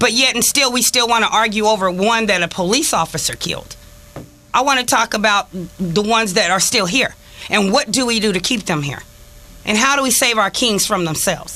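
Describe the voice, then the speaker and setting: A woman's voice at a fairly quick pace, with ordinary pitch variation and noticeable background noise. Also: fairly high pitch for a woman. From Los Angeles, California (Watts, Inglewood). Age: 50s. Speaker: community activist. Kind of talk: radio talk show discussion.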